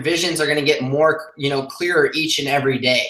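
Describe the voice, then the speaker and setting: A man's fairly high voice keeps a fairly even intonation. Audible room echo colors the recording. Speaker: online business coach. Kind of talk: live stream. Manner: fast.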